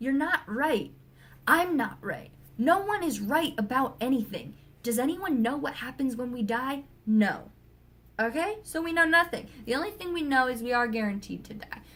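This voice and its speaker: Loud and animated, a woman talks in a high pitch with very wide pitch swings. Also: moderate pace. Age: 20s. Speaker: vlogger. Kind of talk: rant.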